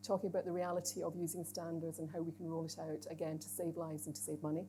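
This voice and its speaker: A woman's very fast delivery, fairly low in pitch, with a dark, mellow tone and vocal fry. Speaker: chief executive giving opening address. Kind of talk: conference opening speech. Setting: stage with audience. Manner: conversational, informal asides.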